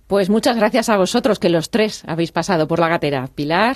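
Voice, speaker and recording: This woman's voice has a medium pitch. She uses lively intonation. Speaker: radio presenter. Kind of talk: radio show presenting.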